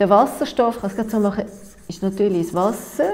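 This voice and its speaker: A woman with a Swiss accent speaks in a fairly high voice with ordinary pitch variation. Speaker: nutritionist and workshop lecturer. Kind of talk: workshop lecture. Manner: hesitant, many filler sounds. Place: meeting room.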